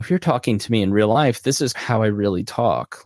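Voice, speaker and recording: A man talks in a normal speaking voice. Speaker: podcast host and consultant. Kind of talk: live Q&A monologue.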